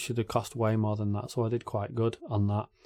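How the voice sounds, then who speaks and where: A man with an English accent. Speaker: YouTube reaction channel host. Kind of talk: casual Q&A talk to camera.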